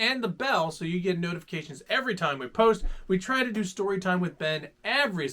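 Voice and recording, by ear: Lively intonation in a natural voice reading aloud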